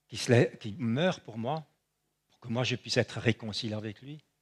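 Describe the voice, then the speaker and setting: A man speaks at a fairly slow pace with a medium pitch. The sound is dry and close, with no echo. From Switzerland. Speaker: preacher. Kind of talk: sermon.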